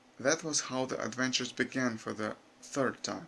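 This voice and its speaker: With a non-native accent, a man speaks at a fairly slow pace in a bright, sharp tone and fairly even intonation. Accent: non-native, unnatural intonation. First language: not English. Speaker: YouTuber. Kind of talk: reading aloud. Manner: halting.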